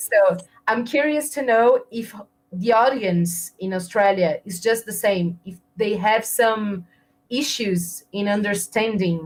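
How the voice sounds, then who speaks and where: With a Portuguese accent, a woman of medium pitch speaks at a fairly slow pace, her loudness swinging widely while her pitch varies in an ordinary way. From Brazil. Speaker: interviewer. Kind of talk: interview.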